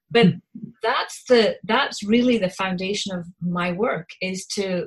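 A woman with a Scottish accent speaks at a fairly slow pace. Her pitch is medium, with ordinary variation. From Scotland. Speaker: parent coach. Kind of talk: interview chat about parenting.

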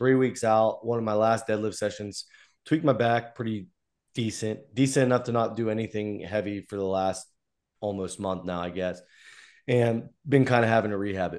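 In an unremarkable speaking voice, a man talks at a fairly quick pace and medium pitch with fairly even intonation, on a very clean recording with a silent background. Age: 20s. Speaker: podcast host and strongman gym member. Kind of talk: casual chat. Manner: frequent fillers and restarts.

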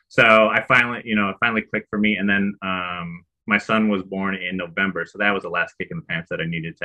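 A man with an American accent speaks in an ordinary speaking voice, fairly low in pitch and with fairly even intonation. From Chicago, US Midwest. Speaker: real estate investor and former insurance claims adjuster. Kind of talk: casual interview chat.

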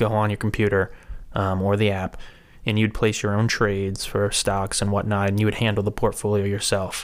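A man with an American accent speaks at a fairly quick pace in a fairly low, monotone, flat voice, in a very clean recording with a silent background. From US Northeast, Rhode Island. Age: 20s. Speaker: financial services associate. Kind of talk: casual interview.

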